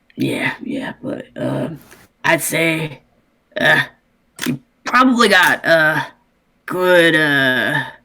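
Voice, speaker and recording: A raspy, put-on character voice comes through a very clean recording with a silent background. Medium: actual play. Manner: gruff, wary.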